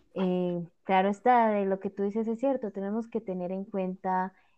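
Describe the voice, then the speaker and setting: A woman talks at a fairly slow pace in an ordinary speaking voice of medium pitch. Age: young. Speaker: podcast host. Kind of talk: casual panel discussion.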